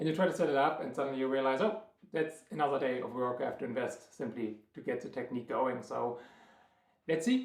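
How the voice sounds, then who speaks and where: Talking at a fairly quick pace with a strong German accent, a man shows ordinary pitch variation against audible room echo. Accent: thick German. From Germany, Berlin. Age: 30s. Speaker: triathlon coach and vlogger. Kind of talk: vlog monologue. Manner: hesitant, many filler words.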